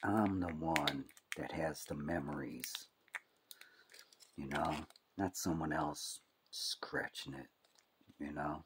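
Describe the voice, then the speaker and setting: Very slow speech in an American accent, with vocal fry, fairly even intonation, and long, frequent pauses. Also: man, very deep, low pitch for a man. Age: 60s. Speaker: hobby YouTuber. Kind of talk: casual tutorial. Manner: casual, rambling.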